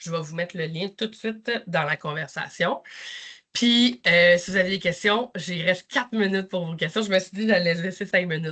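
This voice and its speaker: Against a quiet background, a woman speaks at a moderate pace and medium pitch in a bright, sharp tone. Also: ordinary pitch variation. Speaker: nurse manager. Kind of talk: work presentation.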